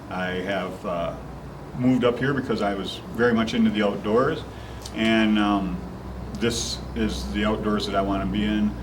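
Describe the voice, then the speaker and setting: Someone talks at a moderate pace against noticeable background noise, with audible room echo. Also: man. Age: 60s. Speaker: county commissioner. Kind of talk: interview.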